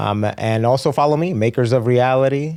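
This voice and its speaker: This man speaks with a Spanish accent and a dark, mellow tone. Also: very clean recording, silent background. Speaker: fitness trainer and race competitor. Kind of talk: podcast interview. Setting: studio.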